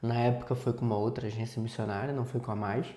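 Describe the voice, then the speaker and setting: This is a man speaking. His voice has a dark, mellow tone. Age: 30s. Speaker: missions teacher and project manager. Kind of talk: podcast interview.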